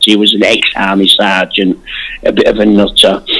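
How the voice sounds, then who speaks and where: Here a man speaks at a moderate pace. His pitch sits fairly low. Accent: Yorkshire. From Yorkshire, northern England. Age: 50s. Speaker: martial artist and magazine founder. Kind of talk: interview.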